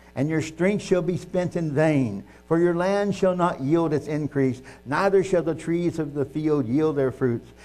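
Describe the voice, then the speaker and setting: A man with an American accent has a dark, mellow tone, a fairly high pitch and ordinary pitch variation. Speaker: preacher. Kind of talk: sermon with scripture reading, ending in fervent prayer. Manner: earnest, fervent, halting in places; verbose, self-deprecating.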